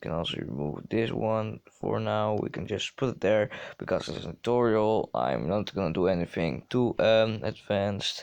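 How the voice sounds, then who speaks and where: With hardly any pauses, a man in a Dutch accent speaks at a moderate pace and a fairly low pitch. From Netherlands. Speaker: gaming youtuber. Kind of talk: tutorial. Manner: halting.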